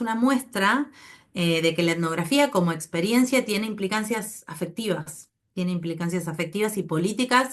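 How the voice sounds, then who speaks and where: A woman's lively intonation at a moderate pace. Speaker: anthropology researcher. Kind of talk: academic seminar talk. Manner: hesitant, many fillers.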